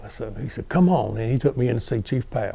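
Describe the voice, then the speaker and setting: A man with a North Carolina accent, somewhat breathy, dark and mellow in tone. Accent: US Southern (North Carolina). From North Carolina, Guilford County. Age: 70s. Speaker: retired fire battalion chief. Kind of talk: oral history interview.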